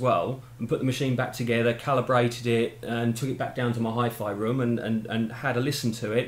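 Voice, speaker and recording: Audible room echo surrounds a man who talks at a very fast pace with hardly any pauses. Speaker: hobbyist demonstrating equipment. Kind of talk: tutorial. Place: home room.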